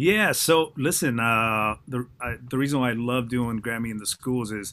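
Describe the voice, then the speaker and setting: Using a bright, sharp tone, a man speaks at a medium pitch and a moderate pace, with ordinary pitch variation. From foreign country, immigrated as teen. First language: not English. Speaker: mixing engineer. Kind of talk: panel discussion.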